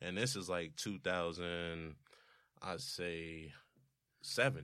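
A man speaks with a very deep, low pitch and a bright, sharp tone. He goes very slowly, with long, frequent pauses. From New Jersey, Roselle. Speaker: music producer and rapper. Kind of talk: casual chat.

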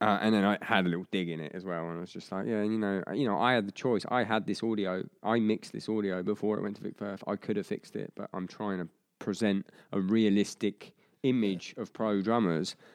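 A man has an ordinary speaking voice, pitched fairly low. His intonation is fairly even. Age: 30s. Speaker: drummer and drumming podcast host. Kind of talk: casual interview.

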